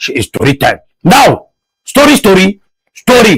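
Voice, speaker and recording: A man with a northern Nigerian accent, very wide pitch swings, and a dry, close sound with no echo. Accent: northern Nigerian (Hausa) English. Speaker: TV show host. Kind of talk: casual TV commentary. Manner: animated.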